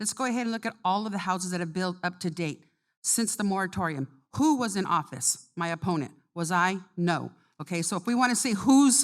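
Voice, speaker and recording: A woman speaks with an American accent at a fairly quick pace, her medium-pitched voice carrying lively intonation in an unremarkable speaking voice, on a very clean recording with a silent background. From California, San Benito County. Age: 60s. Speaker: county supervisor, election candidate. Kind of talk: candidate forum answers.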